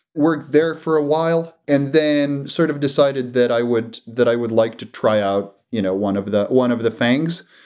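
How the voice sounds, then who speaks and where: This very clean recording with a silent background carries a voice with a Croatian accent. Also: man. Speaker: startup founder and CEO. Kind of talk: interview. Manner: halting, with frequent word repetitions.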